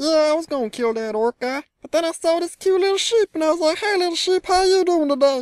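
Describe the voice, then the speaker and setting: Put-on, squeaky character voice at an extremely high pitch and very fast pace, with hardly any pauses. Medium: machinima. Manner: casual, rambling, slangy.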